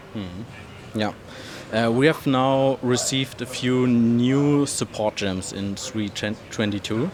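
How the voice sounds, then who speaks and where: A man at medium pitch, very slow, with ordinary pitch variation and noticeable background noise. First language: German. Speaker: gaming content creator, interviewer. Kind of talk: interview. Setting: trade fair. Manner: halting, hesitant.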